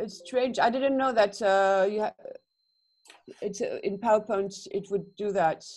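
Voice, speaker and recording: The speaker has a French accent and a fairly slow pace. Long, frequent pauses break up the speech. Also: woman. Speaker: animation student. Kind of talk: one-to-one tutorial session. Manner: halting, many fillers.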